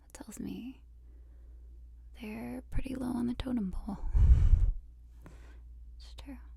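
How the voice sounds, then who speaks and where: The speaker is soft-spoken and talks at a moderate pace. Noticeable background noise runs underneath. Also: woman. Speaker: ASMR artist. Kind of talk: ASMR affirmations.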